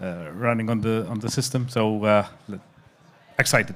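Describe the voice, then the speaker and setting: A man's fairly even intonation at a moderate pace. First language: not English. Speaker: crypto industry panelist. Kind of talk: panel discussion. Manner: halting.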